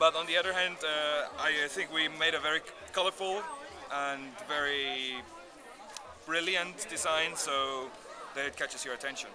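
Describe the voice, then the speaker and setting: Crowd noise fills the background as a man with a fairly high pitch speaks at a moderate pace. His intonation is fairly even, broken by long, frequent pauses. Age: 20s. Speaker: student designer. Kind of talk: interview. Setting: outdoors. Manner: halting. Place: street. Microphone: phone near.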